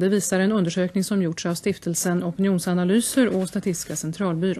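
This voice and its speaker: This woman talks at a fairly quick pace. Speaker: news anchor. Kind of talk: news reading. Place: studio. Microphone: studio mic.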